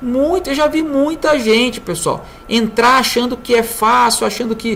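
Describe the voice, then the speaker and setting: Noticeable background noise accompanies a woman who speaks at a fairly slow pace with ordinary pitch variation. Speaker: trading consultant. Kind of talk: tutorial.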